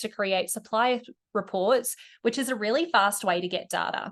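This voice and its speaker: In a quiet background, a woman with a fairly high pitch and ordinary pitch variation speaks at a moderate pace with an Australian accent. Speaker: e-commerce company executive. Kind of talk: webinar presentation.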